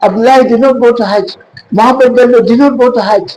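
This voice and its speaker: With noticeable background noise, a man talks at a moderate pace in an extremely high pitch. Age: 70s. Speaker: historian and retired pharmacist. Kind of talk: lecture.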